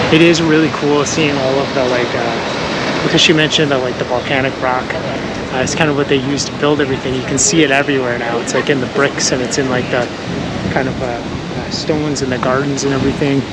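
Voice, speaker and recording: Amid noticeable background noise and audible room echo, a man speaks fairly quickly at a fairly high pitch with monotone, flat intonation. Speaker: travel vlogger. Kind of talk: casual vlog narration. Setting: outdoors.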